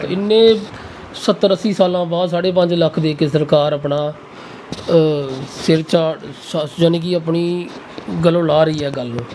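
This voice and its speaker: With light background noise behind him, a man speaks in a high voice with fairly even intonation. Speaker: vlogger. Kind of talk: interview questions. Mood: earnest, somewhat aggrieved. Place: home room. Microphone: lapel.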